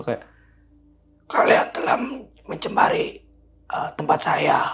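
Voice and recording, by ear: In a put-on character voice, a man speaks raspy and at an extremely high pitch, keeping a fairly slow pace.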